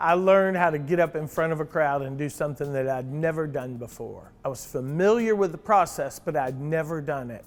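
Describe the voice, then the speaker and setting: This unremarkable speaking voice moves at a fairly quick pace with hardly any pauses. Its pitch variation is ordinary. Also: man, fairly high pitch for a man. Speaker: auctioneer. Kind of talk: casual talk to camera.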